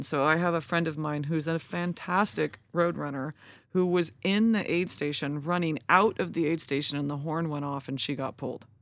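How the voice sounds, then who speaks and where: An ordinary speaking voice from a woman with a fairly low pitch, with an American accent, a moderate pace, hardly any pauses, and ordinary pitch variation, on a very clean recording with a silent background. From California (Lodi). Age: 40s. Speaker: ultra runner. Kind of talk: casual chat.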